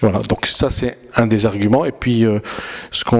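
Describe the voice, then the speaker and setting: The man's intonation stays fairly even while noticeable background noise plays behind him. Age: 30s. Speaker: politician. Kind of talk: campaign interview. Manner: halting, with self-corrections.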